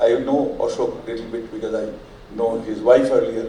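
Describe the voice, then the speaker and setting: Audible room echo and noticeable background noise fill the recording. Through them, a man speaks at a fairly quick pace. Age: 70s. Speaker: audience member, retired academic. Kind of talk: audience question. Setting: air-conditioned hall with audience.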